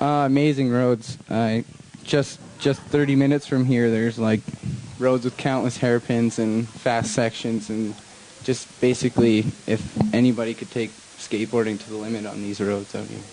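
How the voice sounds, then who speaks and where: With fairly even intonation and a medium pitch, a man talks as noticeable noise fills the background. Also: moderate pace. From western Canada (Pender Harbour, British Columbia). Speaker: downhill skateboard racer. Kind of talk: post-race interview.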